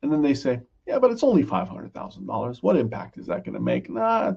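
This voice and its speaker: A man's voice has a dark, mellow tone and vocal fry. His pitch swings very widely. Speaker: financial advisor presenting a webinar. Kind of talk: educational webinar. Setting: online webinar. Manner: slow, deliberate.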